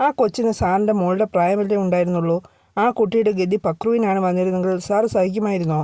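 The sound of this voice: An unforced reading voice, its intonation kept fairly even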